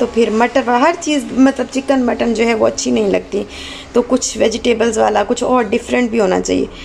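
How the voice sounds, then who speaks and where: The speech moves at a fairly slow pace. Background noise is noticeable. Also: woman. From Pakistan. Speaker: cooking vlogger and mother. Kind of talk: casual vlog talk.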